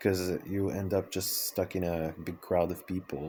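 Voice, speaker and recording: Very slow and very deep, a man's voice has a dark, mellow tone and a Quebec accent. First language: French. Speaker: vlogger, circus artist and dancer. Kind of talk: personal vlog monologue. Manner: hesitant, many fillers and restarts.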